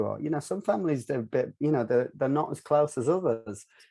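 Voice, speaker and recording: With a dark, mellow tone, a man speaks at a very fast pace. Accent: Northern English. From North of England. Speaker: filmmaker and virtual reality producer. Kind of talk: podcast interview answer.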